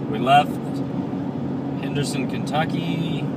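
Loud background noise surrounds a dry sound with no echo. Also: man. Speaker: travel vlogger. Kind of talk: casual vlog chat. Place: car. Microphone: phone near.

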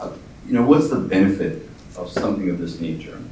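A man with a very deep, low pitch is heard with audible room echo and light background noise. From northern Alberta, Canada. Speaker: tech company CEO; speaker. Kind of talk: keynote talk. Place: meeting room.

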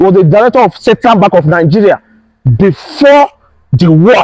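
Lively intonation carries over a quiet background. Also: man. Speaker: tour guide vlogger. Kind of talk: casual vlog chat. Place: garden. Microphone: lapel.

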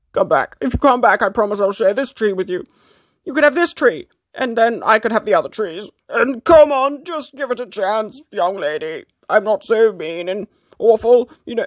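The voice is a put-on character voice at a fairly high pitch. It moves at a moderate pace. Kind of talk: comic pet voice-over. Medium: fan dub.

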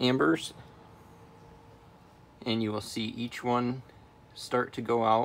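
With light background noise behind him, a man speaks very slowly in a monotone, flat way. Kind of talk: tutorial. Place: bus. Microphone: phone near.

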